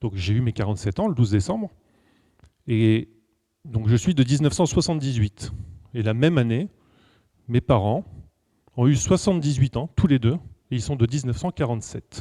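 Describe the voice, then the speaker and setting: The voice has a dark, mellow tone, somewhat breathy and with lively intonation, moving at a moderate pace with long, frequent pauses in a dry, close sound with no echo. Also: man, medium pitch for a man. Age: 40s. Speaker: numerology speaker and coach. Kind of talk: lecture. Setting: stage with audience. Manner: casual and conversational.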